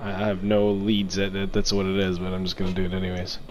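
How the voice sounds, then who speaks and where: A man's very fast speech over music in the background. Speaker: gamer. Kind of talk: casual chat. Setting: voice chat while gaming online. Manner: excitable.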